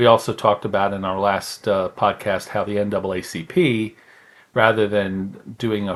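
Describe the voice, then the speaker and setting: The voice is an ordinary speaking voice moving at a moderate pace. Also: man. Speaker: pastor, podcast host. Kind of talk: educational podcast talk, history lesson.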